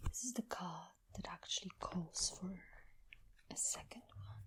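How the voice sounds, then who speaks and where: Someone whispers at a fairly slow pace. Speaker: tarot reader. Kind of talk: ASMR tarot reading. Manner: soft-spoken.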